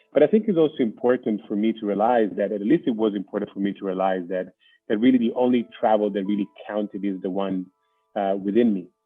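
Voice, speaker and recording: Music plays in the background while a man talks at a very fast pace. His pitch is fairly low, with ordinary variation. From northern Italy, near Milan. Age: 30s. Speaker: non-profit executive. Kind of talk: interview. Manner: halting.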